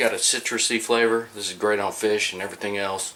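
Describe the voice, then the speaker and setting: A man speaks at a fairly quick pace with an American accent. Noticeable background noise runs behind him. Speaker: BBQ cooking video host. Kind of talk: casual cooking tutorial. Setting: outdoors at the smoker pit. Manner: quiet, trying not to wake wife.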